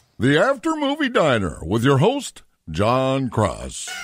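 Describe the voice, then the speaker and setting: A man puts on a character voice. It sounds resonant and moves at a fairly slow pace. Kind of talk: broadcast announcer. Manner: vibrant, dulcet announcer delivery.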